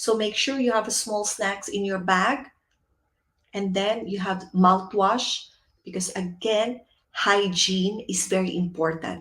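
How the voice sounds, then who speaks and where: A woman's medium-pitched voice in a Filipino accent, fairly slow, with fairly even intonation. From Philippines. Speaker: etiquette and cabin crew trainer. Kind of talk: webinar presentation. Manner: filler words.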